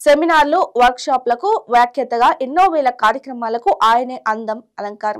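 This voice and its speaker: In a very clean recording with a silent background, a woman speaks at a high pitch with lively intonation. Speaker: Telugu news presenter. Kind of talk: news bulletin narration.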